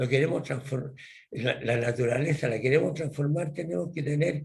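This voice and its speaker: A man talks at a moderate pace in a fairly high, somewhat breathy voice with ordinary pitch variation. Room echo is audible. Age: 80s+. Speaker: professor. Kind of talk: lecture. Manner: halting.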